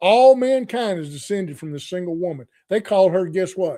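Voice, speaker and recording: Lively intonation and a dark, mellow tone carry this voice at a moderate pace. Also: man. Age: 60s. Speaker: Bible study podcast host. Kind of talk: bible study teaching. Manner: conversational.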